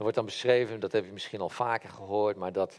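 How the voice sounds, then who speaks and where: His voice sits fairly low for a man. The intonation is fairly even. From Netherlands, Brabant (Helmond). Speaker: lay preacher. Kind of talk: sermon. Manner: halting.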